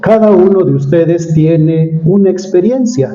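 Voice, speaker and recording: Amid noticeable background noise and audible room echo, a man speaks fairly slowly at a high pitch with lively intonation. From Mexico City. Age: 60s. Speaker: preacher. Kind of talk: sermon.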